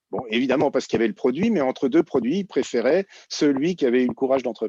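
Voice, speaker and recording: A man's dark, mellow voice at medium pitch and very fast pace, with a dry, close sound and no echo. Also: lively intonation, quiet background. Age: 60s. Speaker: entrepreneur and former startup incubator director. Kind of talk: conference panel Q&A. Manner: hesitant, many fillers and repetitions.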